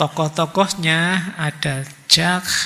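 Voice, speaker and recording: This man speaks at a very slow pace. His tone is bright and sharp. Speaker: philosophy lecturer. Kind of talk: lecture. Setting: hall with audience, microphone. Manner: casual.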